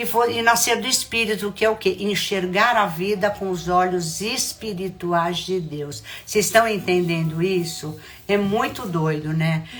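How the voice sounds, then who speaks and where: A woman's medium-pitched voice at a fairly slow pace, ordinary pitch variation, audible room echo and music in the background. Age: 70s. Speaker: spiritual mentor. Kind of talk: spiritual talk.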